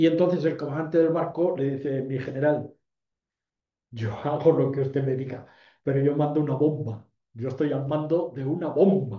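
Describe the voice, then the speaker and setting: Audible room echo surrounds a man speaking with a somewhat breathy voice at a fairly high pitch. He holds a moderate pace and fairly even intonation. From Ceuta, Spain. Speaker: retired army general, lecturer. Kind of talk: lecture. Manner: hesitant, many fillers.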